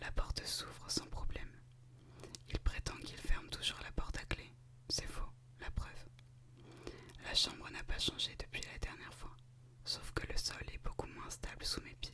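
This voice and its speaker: A woman whispers at a fairly slow pace. Her loudness swings widely, with long, frequent pauses. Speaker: ASMR creator. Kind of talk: whispered audiobook-style reading of a novel. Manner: whispered, soft. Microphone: studio mic.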